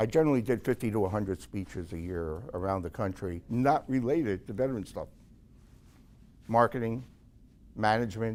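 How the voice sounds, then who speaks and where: On a very clean recording with a silent background, a man with a fairly low pitch speaks at a moderate pace with ordinary pitch variation. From New York City. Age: 60s. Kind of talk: Q&A after a talk.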